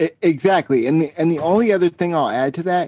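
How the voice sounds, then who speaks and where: A dark, mellow tone comes through at a moderate pace with ordinary pitch variation. The sound is dry and close with no echo, and the background is quiet. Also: man. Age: 30s. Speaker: fitness nonprofit founder and public speaker. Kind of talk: interview.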